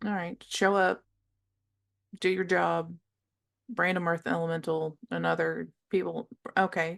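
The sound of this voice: A woman puts on a character voice, fairly low-pitched with vocal fry and a fairly bright tone. She speaks at a fairly slow pace with little pitch movement.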